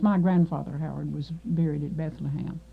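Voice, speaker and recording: Noticeable background noise surrounds a woman speaking with an American accent at a fairly low pitch. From Kentucky, Marshall County. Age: 60s. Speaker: oral history interviewee. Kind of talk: oral history interview. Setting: radio studio. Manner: halting, many fillers.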